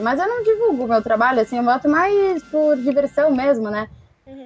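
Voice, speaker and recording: A woman speaks with lively intonation. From Rio Grande do Sul, Brazil. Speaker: comics fan and watercolor artist. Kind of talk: casual chat.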